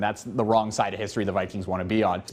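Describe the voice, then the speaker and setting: Upbeat and energetic, a man talks over noticeable background noise. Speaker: TV sports anchor and reporter. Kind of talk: TV news and sports reporting, anchor and standup delivery. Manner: upbeat, energetic broadcast delivery.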